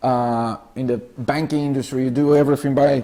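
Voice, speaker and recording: Over a very clean recording with a silent background, a man with a Brazilian accent speaks at a moderate pace in a fairly high pitch and a dark, mellow tone. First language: Portuguese. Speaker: clinical research representative. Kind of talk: lecture. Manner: halting, many fillers.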